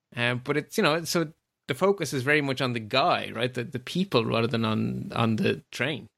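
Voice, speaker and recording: Here is a man with an Irish accent and a medium pitch, talking at a moderate pace. His intonation is lively, and vocal fry creeps in. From rural Ireland. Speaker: podcast host. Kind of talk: casual interview chat.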